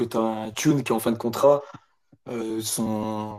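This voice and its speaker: Dark and mellow in tone, the voice delivers everything in a monotone, flat intonation. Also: man. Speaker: football fan. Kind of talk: casual chat.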